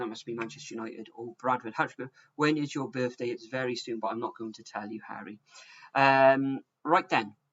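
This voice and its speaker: A man with a Welsh accent, medium pitch, ordinary pitch variation and a moderate pace. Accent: Welsh, some say sounds like Bristol. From South Wales. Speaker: football predictions streamer. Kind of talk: live stream chat. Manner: casual, hesitant with fillers.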